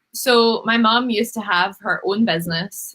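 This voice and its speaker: A woman with a Scottish accent at a fairly slow pace, ordinary pitch variation. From Scotland, Glasgow. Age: 20s. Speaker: home stager, business owner. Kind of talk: interview.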